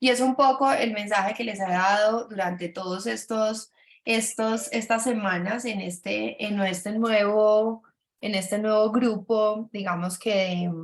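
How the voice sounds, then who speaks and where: At a fairly slow pace, the delivery keeps a fairly even intonation. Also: woman, fairly high pitch for a woman. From Colombia, Antioquia (paisa). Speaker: business mentor for doctors. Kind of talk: webinar presentation. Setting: video call. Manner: hesitant, many fillers and repetitions.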